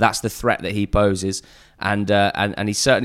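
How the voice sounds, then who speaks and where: Through a very clean recording with a silent background, a man with an English accent speaks at a very fast pace and a fairly low pitch. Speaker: podcaster covering lower-league football. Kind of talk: casual chat.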